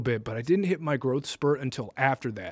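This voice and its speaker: On a very clean recording with a silent background, a man with a plain, everyday voice speaks at a medium pitch and a fairly quick pace. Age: 20s. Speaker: college podcast co-host. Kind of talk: casual chat.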